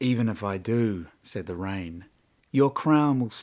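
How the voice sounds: Natural voice for reading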